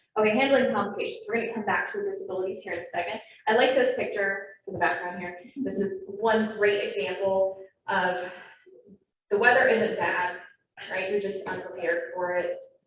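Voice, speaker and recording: A woman's medium-pitched voice at a fairly quick pace, fairly even intonation and audible room echo. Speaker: naturalist trainer. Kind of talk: lecture. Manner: fast.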